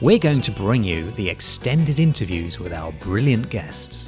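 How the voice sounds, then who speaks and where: A fairly low male voice with very wide pitch swings over music in the background. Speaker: podcast host. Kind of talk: podcast intro.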